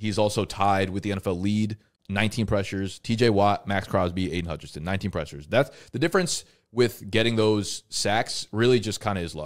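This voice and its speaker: A man's fairly low voice against a quiet background. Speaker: fantasy football show host. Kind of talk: casual chat. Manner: animated. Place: studio. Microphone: studio mic.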